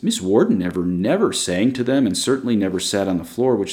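Someone is doing plain reading aloud. Their intonation is lively.

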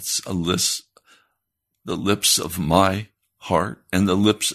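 A man with an American accent talks at a very slow pace in a fairly low voice with fairly even intonation. The background is quiet. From United States. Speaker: radio preacher. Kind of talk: sermon. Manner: serious.

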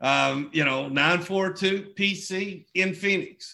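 With an American accent, a man sounds enthusiastic, his tone bright and sharp and his pitch variation ordinary. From southeastern Oklahoma. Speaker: network marketing leader hosting a call. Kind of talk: motivational business call. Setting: group conference call. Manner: halting, filler-heavy, enthusiastic.

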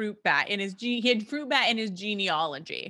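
Animated and bright with a sharp tone, a woman speaks at a moderate pace and medium pitch with ordinary pitch variation. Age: 30s. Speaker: podcast co-host. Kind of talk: casual chat.

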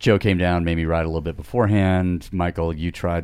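A man's very deep, low voice at a fairly quick pace, with fairly even intonation, on a very clean recording with a silent background. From Italy (Alps). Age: 50s. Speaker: cyclist and former climber. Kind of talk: casual chat.

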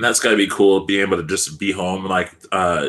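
A man speaks with an American accent at a moderate pace. His voice is very deep and low. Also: very clean recording, silent background. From California. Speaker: soccer podcast host. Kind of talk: casual interview. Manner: halting, many fillers.

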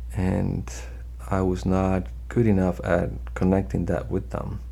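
Vocal fry marks a man's very deep, low voice, dark and mellow in tone, with very wide pitch swings. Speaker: trial lawyer. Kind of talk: interview, telling case stories.

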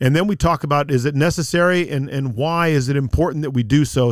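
A man speaks in an unremarkable speaking voice with ordinary pitch variation. The recording is very clean, with a silent background. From South Texas. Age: 50s. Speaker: lawyer and Bible teacher. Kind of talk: podcast interview.

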